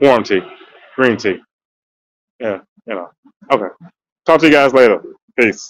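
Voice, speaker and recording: Pausing long and often, a man speaks at a moderate pace and medium pitch with ordinary pitch variation, his loudness swinging widely. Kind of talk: casual chat. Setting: radio show.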